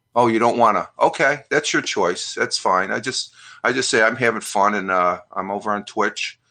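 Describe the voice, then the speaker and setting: The speaker keeps a moderate pace against a quiet background. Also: man. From upstate New York, US. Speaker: live streamer, retired Air Force veteran. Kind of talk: casual live-stream chat reading viewer comments. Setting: live stream. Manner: halting, many fillers.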